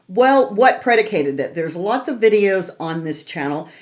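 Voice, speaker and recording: An American-accented woman talks at a moderate pace in an animated tone, her pitch swinging very widely. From California. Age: 70s. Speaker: mortgage lender and real estate youtuber. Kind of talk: casual explainer monologue.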